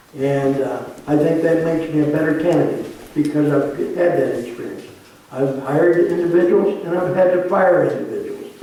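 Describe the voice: A man's fairly high, dark, mellow voice at a moderate pace, with ordinary pitch variation and strong room echo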